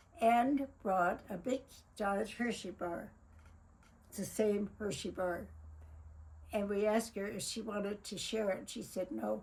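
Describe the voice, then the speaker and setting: A woman's somewhat breathy, medium-pitched voice at a fairly slow pace, with ordinary pitch variation and long, frequent pauses. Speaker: family memoir narrator. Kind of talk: narrating a photo slideshow. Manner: halting.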